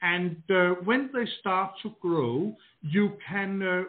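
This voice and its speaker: A man's high-pitched voice with a Danish accent. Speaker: garden designer. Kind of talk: interview. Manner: halting, repeats words.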